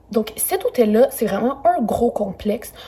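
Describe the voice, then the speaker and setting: A woman speaks over noticeable background noise. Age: 20s. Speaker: travel YouTuber. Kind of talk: hotel review vlog. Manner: casual, with many fillers.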